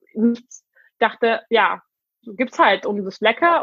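A woman speaking at a fairly slow pace. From Hungary. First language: Hungarian and English (speaking German). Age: 20s. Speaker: vegan interviewee. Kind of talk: casual chat. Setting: video call.

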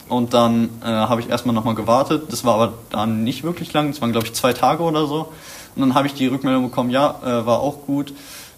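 Speaking very fast with fairly even intonation, a man at medium pitch comes through noticeable background noise. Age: young. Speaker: vocational school student. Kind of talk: interview. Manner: halting, many filler sounds.

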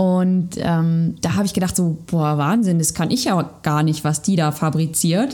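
Speaking at a very slow pace, a woman uses a fairly low pitch with ordinary pitch variation and a dark, mellow tone. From Sauerland, western Germany. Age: 30s. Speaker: personal trainer and yoga teacher. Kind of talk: interview, casual chat.

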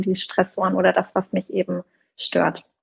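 A woman's flat, monotone medium-pitched voice with vocal fry, in a dry, close sound with no echo. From southern Germany. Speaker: career coach. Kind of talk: casual chat. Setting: Instagram live video session.

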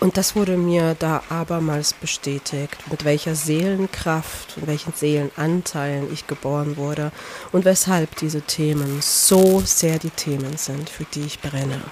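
Against noticeable background noise, a woman speaks fairly slowly with a very deep, low pitch and fairly even intonation. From Poland. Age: 30s. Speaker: podcast host and life coach. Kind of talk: personal monologue. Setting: outdoors by a lake.

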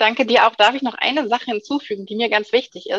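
A woman with an ordinary speaking voice talks at a fairly high pitch with fairly even intonation, in a dry, close sound with no echo. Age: 30s. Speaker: sports scientist and fitness instructor. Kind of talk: interview. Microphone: occasional dropouts from wifi problems.

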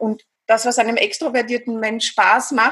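High in pitch, a woman speaks in a Viennese accent. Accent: Viennese Austrian. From Austria, Vienna. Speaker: psychologist and hypnotherapist. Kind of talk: interview.

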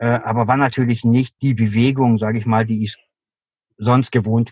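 A man with an ordinary speaking voice and a medium pitch talks at a fairly slow pace in a dry, close sound with no echo. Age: 50s. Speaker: endurance athlete. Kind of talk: interview.

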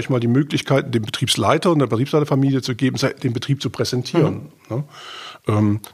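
Speaking at a moderate pace, a man with a medium-pitched, somewhat breathy voice uses ordinary pitch variation. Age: 50s. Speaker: agricultural bank adviser. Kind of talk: casual interview.

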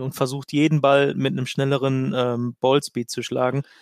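On a very clean recording with a silent background, a man with a plain, everyday voice speaks at a medium pitch and a moderate pace. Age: 20s. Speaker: amateur golfer. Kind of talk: casual chat.

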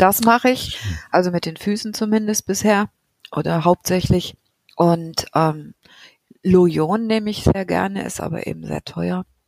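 In a dry, close sound with no echo, a woman speaks fairly slowly at a medium pitch, with ordinary pitch variation and long, frequent pauses. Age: 50s. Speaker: patient with psoriasis. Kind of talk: casual interview.

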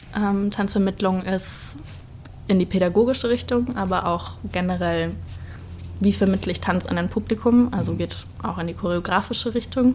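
A woman speaking at a moderate pace amid noticeable background noise. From Bavaria, Starnberg. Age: 20s. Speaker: dance student. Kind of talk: casual interview chat.

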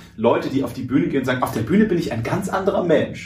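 A man at a very fast pace with ordinary pitch variation, plus audible room echo. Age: 20s. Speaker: radio host and speaker. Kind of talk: casual interview.

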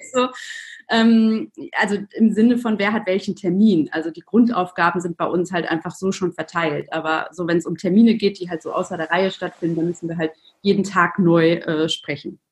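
A woman speaks at a medium pitch with ordinary pitch variation and a somewhat breathy quality. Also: moderate pace. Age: 30s. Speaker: entrepreneur and mother. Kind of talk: podcast interview.

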